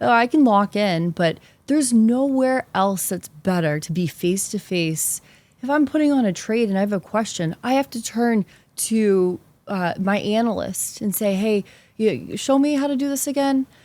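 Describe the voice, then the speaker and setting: Animated and lively in intonation, a woman with an American accent and a fairly high pitch speaks at a moderate pace. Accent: Boston accent, mostly hidden. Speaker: investment specialist. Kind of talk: interview conversation.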